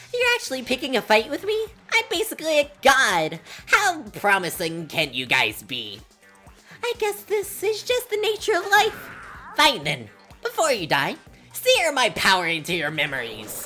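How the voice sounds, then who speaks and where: Over clear music in the background comes a put-on character voice, female-sounding and squeaky. It sits at a high pitch for a woman and keeps a moderate pace. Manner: boastful, menacing.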